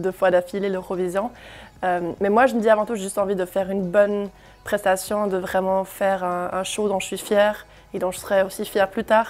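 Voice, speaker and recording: Flat, monotone intonation marks a woman's medium-pitched speech. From Germany. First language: German (speaking French). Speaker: singer. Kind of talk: interview. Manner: hesitant, many fillers.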